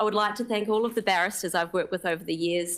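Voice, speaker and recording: The recording is very clean, with a silent background. A woman talks very fast at a medium pitch. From New Zealand. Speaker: lawyer, newly appointed magistrate. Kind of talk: formal ceremonial speech. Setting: courtroom ceremony with audience, live streamed. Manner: formal.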